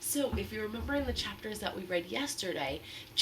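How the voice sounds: Lively intonation in a natural reading voice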